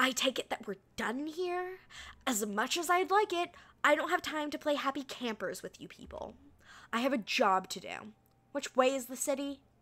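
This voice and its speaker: A woman puts on a character voice, pitched high and kept to a moderate pace. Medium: virtual streamer. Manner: snippy, condescending, brusque.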